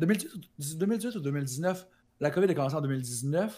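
A man speaks in a Quebec accent. His pitch is fairly high, with ordinary variation. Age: 20s. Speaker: Twitch streamer; interviewee. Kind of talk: interview. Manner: energetic. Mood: relaxed, animated storytelling. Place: home room. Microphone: new microphone; studio mic.

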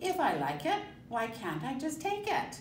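A woman speaks at a fairly slow pace, her pitch swinging very widely. Light background noise and audible room echo sit behind her. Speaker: storyteller. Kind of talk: children's story read-aloud. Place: classroom. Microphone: camera far.

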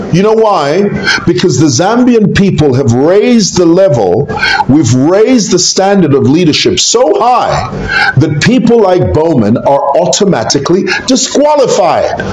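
Light background noise and audible room echo surround a man speaking in a high pitch with very wide pitch swings. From Zambia. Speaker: YouTuber commentator on Zambian politics. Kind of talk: casual video commentary. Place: home room.

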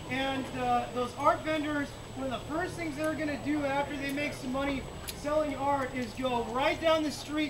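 An angry man shouting at a moderate pace over noticeable background noise. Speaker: rally speaker. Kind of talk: rally speech. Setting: outdoor rally with a crowd. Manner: impassioned, rising to angry shouts on key points; halting, with frequent filler words and repeated phrases. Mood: indignant, earnest. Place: street. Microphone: camera far.

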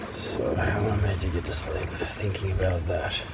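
The speech moves at a very slow pace over loud background noise. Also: man. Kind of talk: casual vlog chat. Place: boat. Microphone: phone near.

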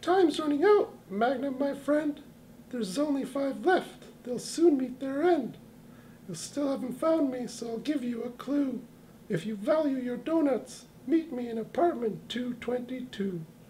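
Using a cartoonish character voice, a man talks at a fairly slow pace in an extremely high pitch, with clear background noise behind him. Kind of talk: comic overacting. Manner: taunting, sing-song, gleeful, rhyming.

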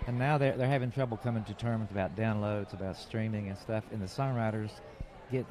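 A man with a Southern US accent speaks at a fairly quick pace in a fairly low pitch, with ordinary pitch variation, over noticeable background noise in a dry sound with no echo. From North Carolina. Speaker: record producer; interview guest. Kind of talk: casual interview. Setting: outdoors at a film festival. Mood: relaxed, reminiscing. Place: tent. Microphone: handheld.

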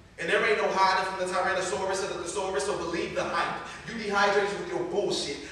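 A man with an American accent and a high pitch is heard through strong room echo and light background noise. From Columbus, Ohio. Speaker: spoken word poet. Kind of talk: live spoken word poetry performance. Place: bar. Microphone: camera far.

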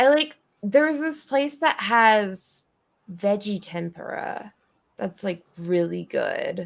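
A woman with an American accent speaks at a very slow pace, her fairly high pitch making very wide swings. The background is quiet. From Colorado. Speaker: streamer and craft-along host; streamer, craft-along host. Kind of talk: casual chat. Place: home room. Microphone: video call.

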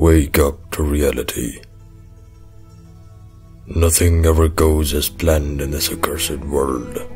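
Over clear background music, a man puts on a character voice, very deep and low, at a fairly slow pace. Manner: grave, brooding monologue.

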